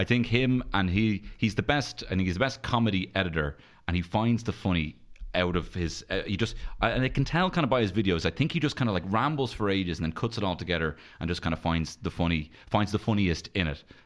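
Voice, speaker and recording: A man with a Dublin accent talks very fast at a fairly low pitch. His intonation is lively, and the background is quiet. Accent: Dublin Irish. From Dublin, Ireland (north side). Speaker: stand-up comedian. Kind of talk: casual chat.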